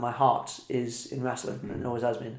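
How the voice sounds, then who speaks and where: Noticeable background noise runs under the recording. A man with a Welsh accent talks at a fairly quick pace. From Wales, small Welsh town. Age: 20s. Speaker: professional wrestler. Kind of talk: casual interview chat.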